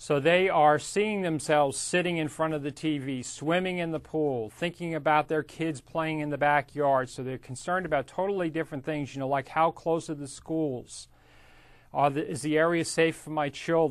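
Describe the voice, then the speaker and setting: An ordinary speaking voice from a man, pitched fairly high, with fairly even intonation. He keeps a moderate pace against a quiet background. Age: 50s. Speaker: real estate instructor. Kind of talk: lecture. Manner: casual, conversational.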